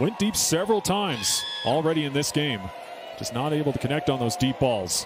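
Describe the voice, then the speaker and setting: A man talks at a fairly quick pace and fairly high pitch. His intonation is lively, with noticeable background noise behind him. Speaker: play-by-play announcer. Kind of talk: live play-by-play sports commentary. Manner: rapid-fire, clipped play calls; energetic and animated.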